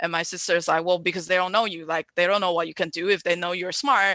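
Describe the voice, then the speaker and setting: Against a quiet background, a woman with a Chinese accent talks very fast at a medium pitch. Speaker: event host. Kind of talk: live-stream panel moderation. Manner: hesitant, filler-heavy.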